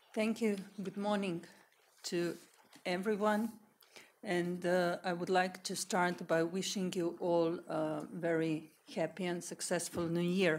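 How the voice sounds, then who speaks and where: A woman's fairly low voice with a Slovenian accent, fairly slow and fairly even, broken by long, frequent pauses. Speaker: panelist. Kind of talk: conference talk.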